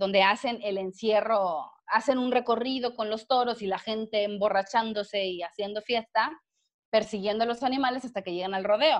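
Speaking at a moderate pace, a woman has an unremarkable speaking voice with a fairly high pitch and ordinary pitch variation. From Mexico, Villahermosa, Tabasco. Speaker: biologist and animal rights activist. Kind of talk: casual interview chat.

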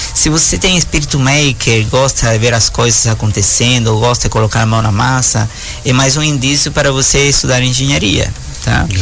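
Against music in the background, a man of medium pitch talks at a moderate pace with very even loudness. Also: ordinary pitch variation. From Cuba. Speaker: engineering professor. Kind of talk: radio interview. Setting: studio.

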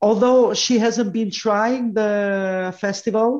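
A woman's plain, everyday voice, fairly slow and with ordinary pitch variation, over a quiet background. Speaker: music festival commentator. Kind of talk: interview.

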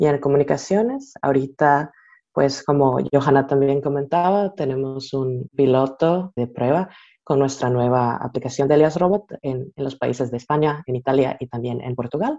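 A woman speaks in a dark, mellow tone at a very deep, low pitch. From Costa Rica. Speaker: marketing and communications staff. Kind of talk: interview. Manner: halting, repeats words.

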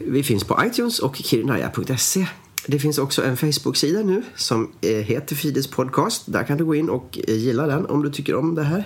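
Over noticeable background noise, a man with a fairly high pitch speaks at a moderate pace, with lively intonation and very even loudness. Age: 30s. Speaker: actor and podcast host. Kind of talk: comedic scripted chat.

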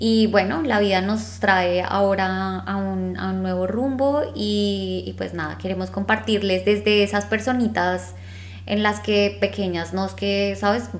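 Room echo is audible around the voice. A woman talks fairly slowly. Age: 30s. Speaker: podcast co-host. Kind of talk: casual chat.

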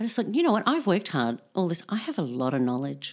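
A woman speaks with an Australian accent. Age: 40s. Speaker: philosophy professor. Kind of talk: casual interview chat.

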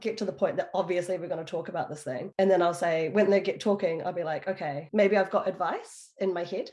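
A woman with a medium pitch talks in a dark, mellow tone and fairly even intonation. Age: 30s. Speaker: podcast guest. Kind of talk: casual chat.

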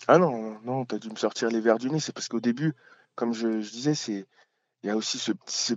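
With a medium pitch, a man's voice moves through ordinary pitch variation. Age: 30s. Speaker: podcaster talking about shyness. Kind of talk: interview. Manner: hesitant.

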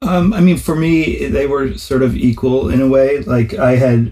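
With an American accent, a man speaks in an ordinary speaking voice at a moderate pace with lively intonation. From US Northeast, New Haven, Connecticut. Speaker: music promoter and DJ. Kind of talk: interview.

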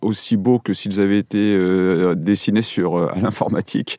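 A man talks at a moderate pace in a fairly low, dark, mellow voice with fairly even intonation. The sound is dry and close with no echo, over a quiet background. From French provinces. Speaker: architect. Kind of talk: interview.

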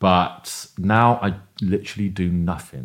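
A man with a London accent, ordinary pitch variation, on a very clean recording with a silent background. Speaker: event producer and educator. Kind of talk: casual interview.

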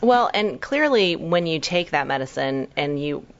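Here a woman is talking. Her pace is moderate. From Hong Kong-born, raised in New York. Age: 40s. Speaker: doctor. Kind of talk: interview chat.

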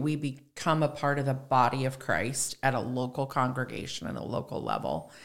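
A woman with an American accent speaks at a moderate pace in a very deep, low pitch with vocal fry. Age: 60s. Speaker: church member and farmer's wife. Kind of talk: casual chat about scripture.

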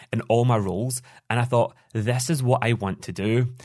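A man's medium-pitched voice in a Scottish accent at a moderate pace. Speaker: business coach. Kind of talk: casual interview. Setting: remote call.

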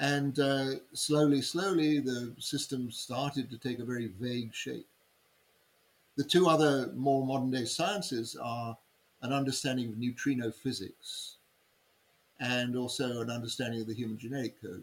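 The speaker has an English accent and a moderate pace. Pitch varies in an ordinary way. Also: man, medium pitch for a man. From England. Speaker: human design teacher. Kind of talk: interview.

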